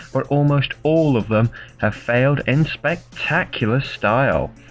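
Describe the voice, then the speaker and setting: A man's medium-pitched voice, with ordinary pitch variation, is heard over music in the background. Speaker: video game tournament commentator. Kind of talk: sports-style game commentary.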